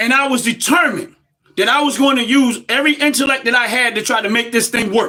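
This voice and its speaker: In an American accent, a man with an extremely high pitch speaks fairly quickly in a raised, projected voice, his tone bright, sharp and passionate, his intonation fairly even. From United States. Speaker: livestream commentator. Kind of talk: live-stream monologue. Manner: loud, passionate.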